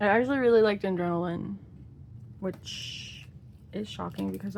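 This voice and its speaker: A quiet woman at a moderate pace. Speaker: K-pop photocard collector vlogger. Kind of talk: casual hobby video narration. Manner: quiet, focused; chatty, halting with fillers.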